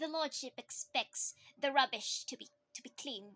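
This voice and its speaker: In a put-on character voice, a female-sounding speaker talks at a moderate pace with a nasal, high-pitched sound. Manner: monotone, sharp.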